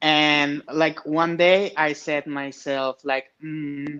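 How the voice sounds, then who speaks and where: A man with a Spanish accent talks at a fairly high pitch in a bright, sharp tone with fairly even intonation. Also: quiet background. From Mexico, Monterrey. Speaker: amateur fighter. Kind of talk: interview.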